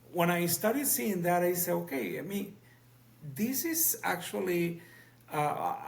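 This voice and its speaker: A man with a high pitch and lively intonation leaves long, frequent pauses amid noticeable background noise and audible room echo. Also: fairly slow pace. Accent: Spanish. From Cuba, Havana. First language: Spanish. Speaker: physician and professor. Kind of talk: podcast interview. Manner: halting.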